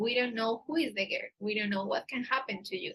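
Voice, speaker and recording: A woman with an Antioquian accent speaks at a fairly high pitch. Her tone is bright and sharp, with ordinary pitch variation. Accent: Spanish accent in English, Paisa. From Colombia, Medellin area. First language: Spanish. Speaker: dating agency staff, livestream host. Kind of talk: live stream Q&A. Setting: livestream on camera. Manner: hesitant, with filler words.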